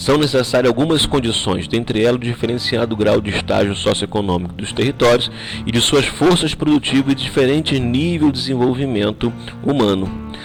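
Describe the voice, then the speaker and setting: A man's medium-pitched voice with lively intonation at a moderate pace, over noticeable background noise. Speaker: school geography teacher. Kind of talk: recorded online lesson. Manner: hesitant, with fillers.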